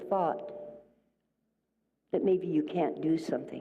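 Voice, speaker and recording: A woman's fairly low voice with vocal fry, at a fairly slow pace, amid audible room echo. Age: 80s+. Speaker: minister. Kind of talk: sermon. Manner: animated.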